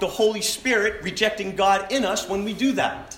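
Over noticeable background noise, a man with a high pitch uses a raised, projected voice and lively intonation. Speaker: pastor. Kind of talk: sermon. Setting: church. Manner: loud.

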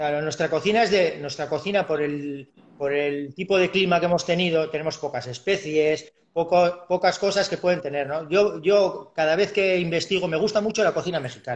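A man speaks at a moderate pace with hardly any pauses. His pitch is high, with ordinary variation. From Basque Country, Biscay (Urduliz). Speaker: chef and restaurant owner. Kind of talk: casual interview chat. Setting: live video stream call.

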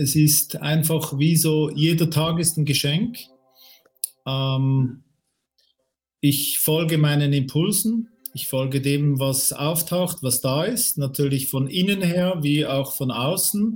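At a very slow pace and a fairly high pitch, a man speaks with ordinary pitch variation while music plays in the background. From Switzerland. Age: 50s. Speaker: career coach. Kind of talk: interview about a near-death experience. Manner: halting.

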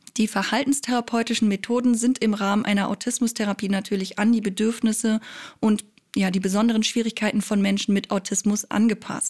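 Her voice fairly high and somewhat breathy, a woman speaks at a fairly quick pace in a monotone, flat intonation. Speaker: psychology podcast host. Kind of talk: scripted explainer monologue.

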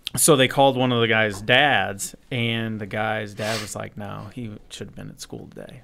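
This is a man with an ordinary speaking voice. He uses a medium pitch at a moderate pace. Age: 40s. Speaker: podcast guest. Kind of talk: casual chat.

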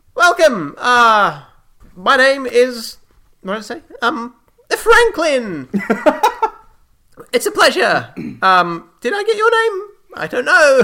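A put-on character voice, fairly high in pitch and cackling, at a very slow pace with long, frequent pauses. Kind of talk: comic overacting. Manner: cheery, scatterbrained, cackling.

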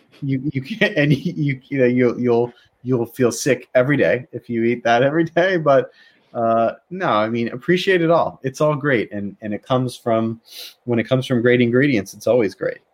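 A man with an American accent and a normal speaking voice at medium pitch, with ordinary pitch variation, a moderate pace and a quiet background. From US, Baltimore. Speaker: tech company lawyer. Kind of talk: casual interview chat. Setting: video call.

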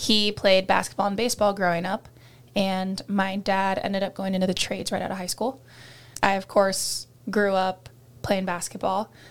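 Moderate pace with a monotone, flat intonation. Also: woman, medium pitch for a woman. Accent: American. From Iowa, US Midwest. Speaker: college volleyball player. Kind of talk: casual interview.

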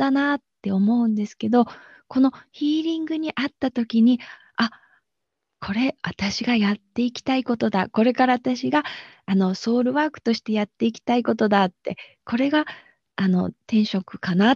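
With a dry, close sound and no echo, a woman with a fairly high pitch talks at a moderate pace, with ordinary pitch variation and big swings in loudness. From Japan, Aichi. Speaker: bridal florist and energy healer. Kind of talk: interview.

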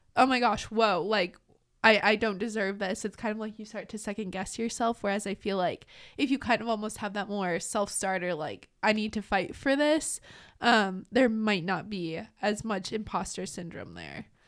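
An unremarkable speaking voice from a woman with an American accent, moderate pace and ordinary pitch variation, on a very clean recording with a silent background. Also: medium pitch for a woman. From Minnesota. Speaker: university student, student agency media coordinator. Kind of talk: casual podcast chat.

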